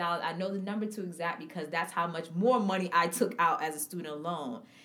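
A woman talks at a fairly quick pace with a fairly low pitch. Noticeable background noise runs underneath. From Harlem, New York City. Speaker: podcast host. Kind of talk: casual chat.

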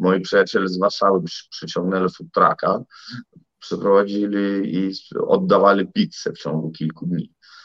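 A man with a Russian accent talks at a moderate pace, his loudness swinging widely. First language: Russian (speaking Polish). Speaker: civic activist and entrepreneur. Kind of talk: interview.

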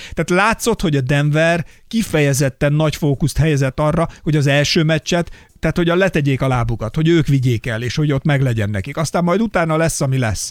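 The speech moves at a very fast pace with ordinary pitch variation, and the sound is dry and close with no echo. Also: man, fairly high pitch for a man. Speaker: podcast co-host. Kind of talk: show outro; casual chat about basketball.

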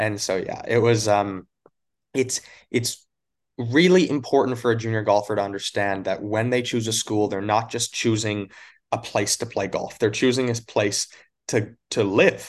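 An unremarkable speaking voice, this man with a Canadian accent talks at a moderate pace and medium pitch with ordinary pitch variation against a quiet background. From Canada (Alberta). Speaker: college golf coach. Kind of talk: casual interview.

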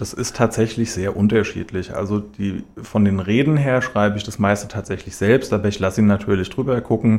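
In a plain, everyday voice, a man speaks at a fairly low pitch and a fairly quick pace with fairly even intonation and hardly any pauses. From Hesse, Germany (Schlüchtern, Main-Kinzig). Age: 30s. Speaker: mayoral candidate. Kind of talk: radio interview. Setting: radio studio.

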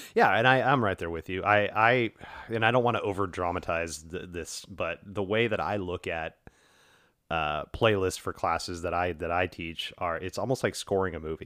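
Very deep and low in pitch, a man speaks in an American accent with a bright, sharp tone. The recording is very clean, with a silent background. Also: moderate pace. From US South. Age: 40s. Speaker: podcast host and yoga teacher. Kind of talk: casual conversation interview. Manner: monotone at times.

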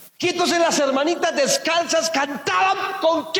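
A man's extremely high voice at a fairly slow pace, with audible room echo and noticeable background noise. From Colombia, Boyacá. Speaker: pastor. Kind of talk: sermon.

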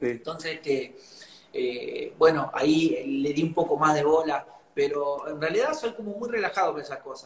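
A man's fairly high voice at a moderate pace, with ordinary pitch variation, big swings in loudness, and noticeable background noise. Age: 40s. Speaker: cumbia singer. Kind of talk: interview.

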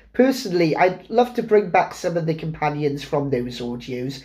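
Using a normal speaking voice, a man talks at a moderate pace with a fairly high pitch and lively intonation. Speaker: podcast guest, fan. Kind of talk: casual chat.

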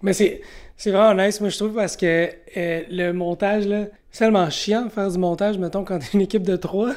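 A woman speaks at a moderate pace and medium pitch in a normal speaking voice, with fairly even intonation, in a very clean recording with a silent background. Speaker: podcast host. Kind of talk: casual chat.

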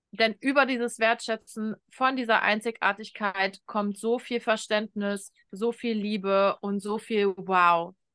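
A woman with a fairly high, bright, sharp voice speaks at a very slow pace with hardly any pauses and fairly even intonation, in a dry, close recording with no echo and a quiet background. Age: 30s. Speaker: shamanic coach and mentor. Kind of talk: interview conversation.

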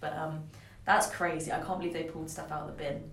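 Through noticeable background noise and audible room echo comes a woman's very deep, low-pitched voice. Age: 20s. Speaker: podcast co-host. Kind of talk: casual chat.

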